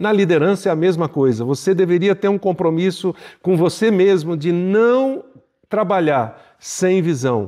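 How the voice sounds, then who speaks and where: A high-pitched man at a fairly slow pace, with lively intonation and very even loudness. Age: 60s. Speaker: pastor and leadership teacher. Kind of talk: podcast teaching monologue.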